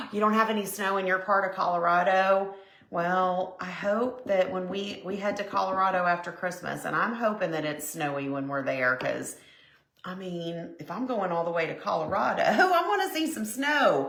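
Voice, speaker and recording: A woman speaks with lively intonation over noticeable background noise, with audible room echo. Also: medium pitch for a woman, moderate pace. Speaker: crafting livestream host. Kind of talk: casual craft livestream chat. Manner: chatty, conversational.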